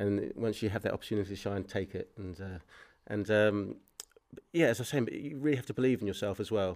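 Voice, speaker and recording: In a very clean recording with a silent background, a man speaks very fast at a fairly low pitch with ordinary pitch variation. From New Zealand. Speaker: filmmaker. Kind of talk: interview. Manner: halting.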